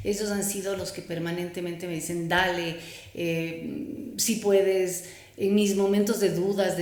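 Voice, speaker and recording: Audible room echo surrounds a voice that moves fairly slowly with ordinary pitch variation. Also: woman. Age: 60s. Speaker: psychotherapist and entrepreneur. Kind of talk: interview.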